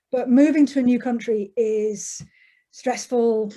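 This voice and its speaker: Her tone is dark and mellow, at a fairly high pitch. The woman keeps a fairly slow pace with fairly even intonation. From England, Derbyshire. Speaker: author. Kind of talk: interview.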